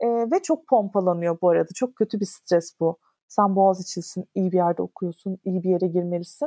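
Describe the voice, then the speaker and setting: A woman's dark, mellow voice at medium pitch, with hardly any pauses, dry and close with no echo, over a quiet background. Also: ordinary pitch variation, moderate pace. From Istanbul, Turkey. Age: 30s. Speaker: content creator on minimalism. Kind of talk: casual interview chat.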